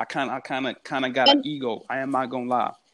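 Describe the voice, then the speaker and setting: In an American accent, a man talks at a very fast pace. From Houston, Texas. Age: 20s. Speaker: aspiring actor. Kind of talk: casual chat.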